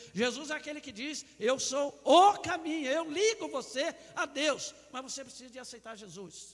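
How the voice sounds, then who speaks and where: A man speaks at a fairly slow pace. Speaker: pastor. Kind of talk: sermon. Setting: church.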